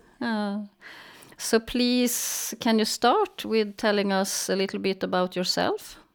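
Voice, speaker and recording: At a very slow pace, a woman speaks with a medium pitch and fairly even intonation. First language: Swedish. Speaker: film festival founder. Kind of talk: interview. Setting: video call.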